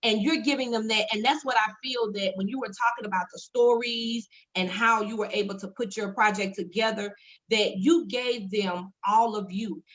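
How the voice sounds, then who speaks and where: A woman's fairly high, somewhat breathy voice. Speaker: talk show host. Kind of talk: casual chat.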